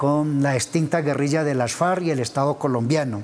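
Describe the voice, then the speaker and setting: Intonation stays fairly even as the man talks. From Colombia. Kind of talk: TV interview. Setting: TV studio. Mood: calm, serious. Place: studio. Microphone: lapel.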